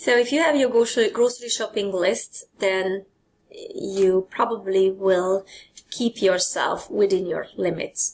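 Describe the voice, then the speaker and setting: A woman of medium pitch at a fairly slow pace, with ordinary pitch variation, on a very clean recording with a silent background. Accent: Hungarian. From Hungary. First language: Hungarian. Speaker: presenter. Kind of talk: lecture.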